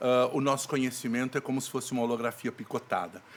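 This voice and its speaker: At a fairly quick pace, a man of medium pitch speaks in a monotone, flat intonation. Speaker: actor and theatre director. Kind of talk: podcast interview.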